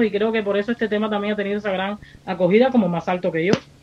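Noticeable background noise behind a woman's fairly high-pitched speech. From Cuba. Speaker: singer and producer. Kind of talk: radio interview.

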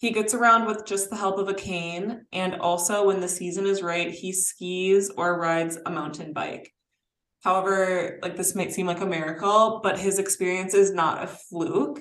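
A woman with a plain, everyday voice talks at a moderate pace, her pitch sitting in the medium range. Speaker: podcast co-host. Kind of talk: casual chat.

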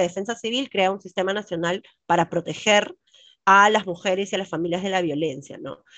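A woman talks at a very fast pace. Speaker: lawyer. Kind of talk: interview.

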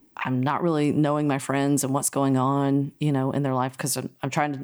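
The speaker has an American accent and a monotone, flat intonation at a moderate pace. The recording is very clean, with a silent background. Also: woman. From US South, North Carolina. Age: 50s. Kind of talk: casual interview chat. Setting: in person, recording together.

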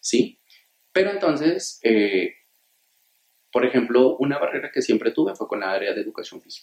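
A moderate pace broken by long, frequent pauses. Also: man. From Colombia, Túquerres, Nariño. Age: 40s. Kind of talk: interview.

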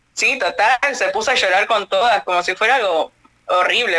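With an Argentine accent, a woman speaks at a moderate pace and ordinary pitch variation. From Argentina. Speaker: radio host. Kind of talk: casual chat.

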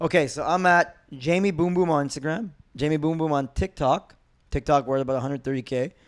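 In a Montreal accent, a man with a fairly high pitch speaks at a fairly quick pace with ordinary pitch variation on a very clean recording with a silent background. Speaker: former MMA fighter turned comedian. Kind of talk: casual chat.

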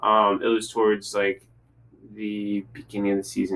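His voice is fairly low for a man, with a bright, sharp tone. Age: young. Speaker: college student. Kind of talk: casual chat. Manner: halting.

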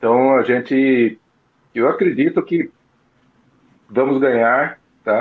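A man speaks at a very slow pace, leaving long, frequent pauses. His voice sits at a medium pitch with fairly even intonation. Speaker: football fan. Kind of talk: casual chat.

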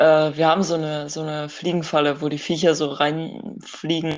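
With a very deep, low pitch, a woman speaks at a moderate pace. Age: young. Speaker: podcast co-host. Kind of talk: casual chat.

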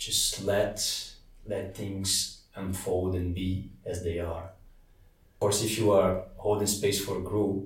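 Over audible room echo, a man with a Portuguese accent speaks very slowly in a somewhat breathy voice, using monotone, flat intonation. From Brazil. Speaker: meditation teacher. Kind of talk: interview. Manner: hesitant, with fillers.

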